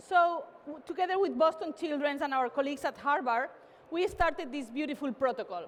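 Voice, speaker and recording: Her voice is high-pitched, with lively intonation. This woman talks at a fairly quick pace. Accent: Spanish. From Spain, Barcelona. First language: Spanish or Catalan. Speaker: tech company CEO. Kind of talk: keynote talk. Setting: stage with audience. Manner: animated.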